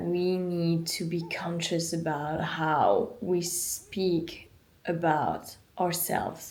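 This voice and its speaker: In a French accent, a woman talks at a fairly low pitch amid audible room echo. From France. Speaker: vlogger. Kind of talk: casual chat.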